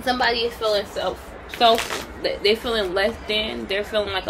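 A woman speaks in a monotone, flat intonation. Music plays in the background. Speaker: tarot reader. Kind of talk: tarot reading commentary. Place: home room. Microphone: phone near.

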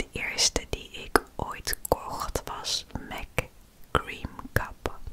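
A soft-spoken woman whispers at a very slow pace. Background noise is noticeable. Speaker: ASMR creator. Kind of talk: soft-spoken ASMR makeup showcase. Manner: soft ASMR whisper close to microphone. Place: home room. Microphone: studio mic.

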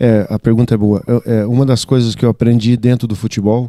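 A man speaks at a moderate pace with a dark, mellow tone. The sound is dry with no echo, and the background is quiet. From Brazil, Santa Catarina. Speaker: football coach. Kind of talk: press conference. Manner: halting, many fillers and repetitions. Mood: calm, measured. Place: meeting room. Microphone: handheld.

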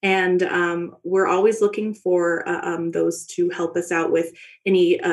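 A medium-pitched woman with an American accent. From Texas, Dallas. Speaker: observatory education coordinator. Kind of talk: casual chat. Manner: halting, many fillers.

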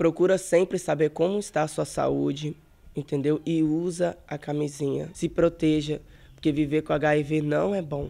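Fairly slow and fairly even in intonation, a man's dark, mellow tone sits at a fairly high pitch. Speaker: person living with HIV; interviewee. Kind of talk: interview testimony. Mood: somber, reflective. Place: home room. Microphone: handheld.

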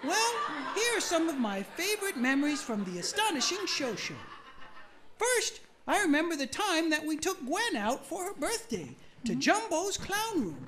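This is a cartoonish character voice at an extremely high pitch with very wide pitch swings. Clear background noise runs underneath. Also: moderate pace. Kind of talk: cheerful talk-show host. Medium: puppet show.

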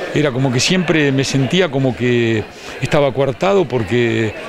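Crowd noise fills the background behind a voice with ordinary pitch variation. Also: man. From Argentina, Buenos Aires province (Chacabuco); Buenos Aires province, Argentina. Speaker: physical education teacher and lecturer. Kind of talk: interview. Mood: reflective, personal. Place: hall. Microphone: handheld.

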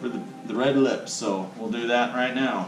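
A man speaks with ordinary pitch variation and audible room echo. Clear music plays in the background. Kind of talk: tutorial. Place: home room. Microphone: camera far.

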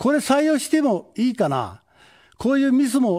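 A man's voice has an extremely high pitch yet a dark, mellow tone, heard over a quiet background. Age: 70s. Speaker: political candidate; candidate. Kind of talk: campaign speech. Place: studio. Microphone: podium.

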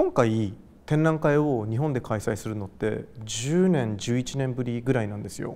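Speaking at a moderate pace, a man has a dark, mellow tone and ordinary pitch variation. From Japan, Gifu (Hida-Takayama), later Tokyo; Japan. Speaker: artist. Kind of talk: interview. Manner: casual, hesitant with fillers. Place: hall. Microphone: lapel.

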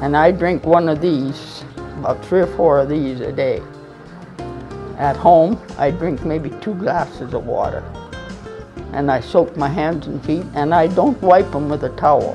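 Very deep, low-pitched female speech at a fairly slow pace, with long, frequent pauses and clear music in the background. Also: ordinary pitch variation. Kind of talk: interview answer. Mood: relaxed, convinced testimonial. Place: tunnel cave. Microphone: lapel.

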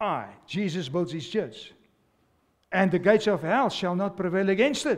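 A man's high-pitched, animated voice with lively intonation at a moderate pace, broken by long, frequent pauses, against a quiet background. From South Africa. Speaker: pastor. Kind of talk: sermon to a live congregation. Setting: church with congregation. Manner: animated, exhorting, call-and-response; fervent, repetitive, urgent preaching cadence. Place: church. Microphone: headset.

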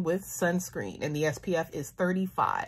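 Speaking at a very slow pace, a woman uses a fairly low voice. Her tone is somewhat breathy. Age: 30s. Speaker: beauty YouTuber. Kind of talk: product review monologue. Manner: animated. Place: home room. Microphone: phone near.

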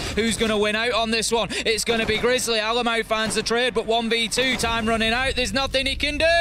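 A man's raised, projected voice at an extremely high pitch, animated in tone, over noticeable background noise. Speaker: esports commentator. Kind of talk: live esports commentary, play-by-play. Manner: animated, fast-paced, excitable play-by-play.

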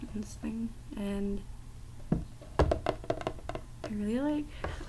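Loud background noise surrounds a soft-spoken woman. She talks at a very slow pace. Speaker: tapping video maker. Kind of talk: casual ASMR talk to camera, tapping video. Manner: hesitant, awkward, soft-spoken. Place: home room. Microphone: webcam.

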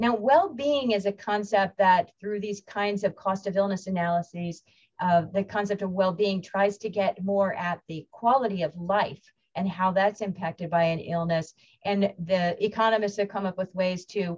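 A somewhat breathy woman at a moderate pace, with fairly even intonation over a quiet background. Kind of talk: lecture. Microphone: webcam.

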